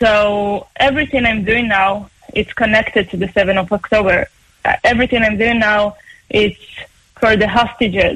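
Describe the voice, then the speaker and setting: A woman with an Israeli accent and a fairly high voice speaks at a moderate pace. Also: fairly even intonation. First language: Hebrew. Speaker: opera singer. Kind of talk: interview.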